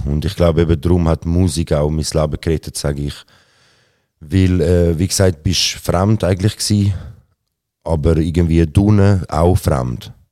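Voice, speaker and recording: Very deep and low, a man's voice carries a dark, mellow tone, broken by long, frequent pauses. The recording is very clean with a silent background. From Switzerland, Zurich. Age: 30s. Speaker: rapper. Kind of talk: interview. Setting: theatre venue.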